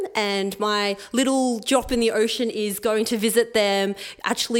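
With an Australian accent, a woman speaks in a fairly high pitch with monotone, flat intonation. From Melbourne, Australia. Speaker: occupational therapist and charity volunteer. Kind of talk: interview before live audience. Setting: stage with audience.

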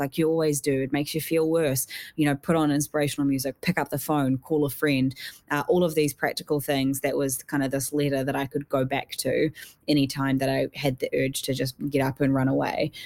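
In a New Zealand accent, a woman speaks at a fairly quick pace with a very deep, low pitch and monotone, flat intonation. Her loudness is very even, and the sound is dry and close with no echo. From New Zealand, South Island. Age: young. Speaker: mental health activist. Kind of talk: interview.

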